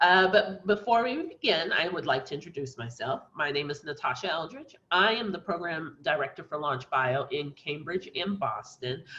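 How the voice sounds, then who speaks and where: A woman talks at a moderate pace with lively intonation. Her tone is bright and sharp. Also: fairly low pitch for a woman. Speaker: webinar moderator, program director. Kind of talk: webinar introduction. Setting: online webinar.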